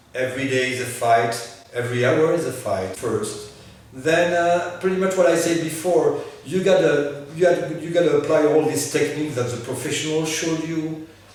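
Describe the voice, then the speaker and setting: Noticeable background noise and audible room echo fill the recording. A man speaks at a fairly high pitch and a moderate pace. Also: ordinary pitch variation. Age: 60s. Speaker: stroke survivor, patient. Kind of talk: testimony. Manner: halting, many hesitations.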